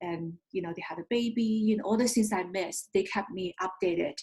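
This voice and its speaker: A somewhat breathy voice with a Chinese accent moves at a moderate pace. The sound is dry and close, with no echo. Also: woman. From China. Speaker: investment firm founder. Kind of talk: interview.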